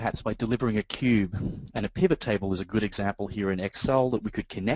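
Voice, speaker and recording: Speaking with an Australian accent, a man talks fairly quickly at a fairly low pitch with ordinary pitch variation. The sound is dry and close with no echo, over a quiet background. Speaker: software trainer, database consultant. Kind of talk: webinar presentation. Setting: online webinar. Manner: hesitant with filler words.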